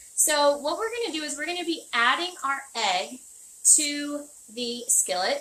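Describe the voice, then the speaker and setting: Projecting her voice loudly, a woman speaks at a high pitch in a bright, sharp tone, her pitch swinging very widely. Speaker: chef. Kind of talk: tutorial. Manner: fast.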